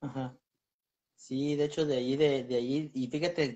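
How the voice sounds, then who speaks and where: A man's normal speaking voice, pitched fairly high, its pitch varying in an ordinary way. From Michoacán, Mexico. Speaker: paranormal explorer. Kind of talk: casual interview. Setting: video call. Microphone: video call.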